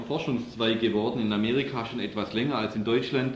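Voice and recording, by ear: A man is speaking. There's audible room echo around his voice.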